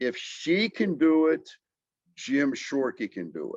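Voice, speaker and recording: A man is speaking. The recording is dry and close, with no echo. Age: 60s. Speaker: businessman, car dealer. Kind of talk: podcast conversation. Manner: repetitive, stumbling restarts; emphatic.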